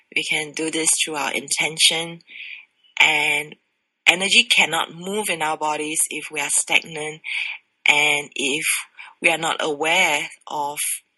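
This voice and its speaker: Pausing long and often, a woman speaks at a fairly slow pace in a very deep, low voice. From Singapore. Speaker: sexologist. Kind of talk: interview.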